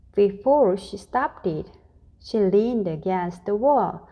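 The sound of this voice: Text read in an unforced reading voice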